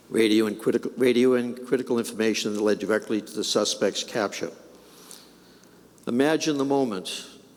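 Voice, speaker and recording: A medium-pitched man with fairly even intonation and long, frequent pauses, against noticeable background noise. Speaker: police commissioner giving a eulogy. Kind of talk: eulogy at a funeral service. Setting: church, addressing a large crowd. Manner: formal, solemn.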